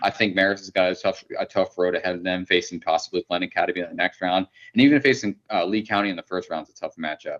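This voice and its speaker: Talking at a very fast pace with hardly any pauses, a man comes through in a dry, close sound with no echo. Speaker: baseball scout, podcast co-host. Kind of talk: casual sports podcast discussion. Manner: stumbling over words.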